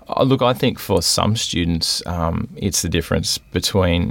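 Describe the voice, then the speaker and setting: A man with an Australian accent. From southeast Queensland, Australia (Logan). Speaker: university administrator. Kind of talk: interview.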